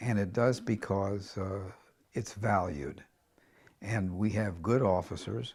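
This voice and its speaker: A man's somewhat breathy voice at a very slow pace, with lively intonation. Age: 80s+. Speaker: veteran league bowler. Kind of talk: interview. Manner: halting.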